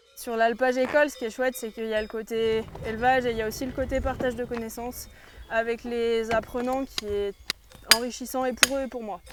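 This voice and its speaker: A woman speaks at a fairly quick pace in a fairly high, monotone voice with flat intonation, over noticeable background noise. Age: 20s. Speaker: cowherd and instructor. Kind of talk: interview testimony.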